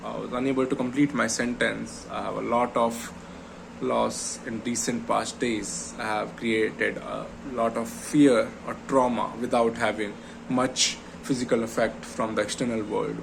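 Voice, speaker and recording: There's noticeable background noise and audible room echo as a man talks. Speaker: vlogger. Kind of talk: personal vlog monologue. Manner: slow; halting.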